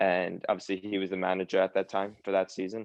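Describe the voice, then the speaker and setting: A man's very deep, low voice in monotone, flat intonation at a moderate pace, dry and close with no echo. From US, New York (Long Island). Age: 20s. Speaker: footballer. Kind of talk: casual interview. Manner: filler-heavy, halting.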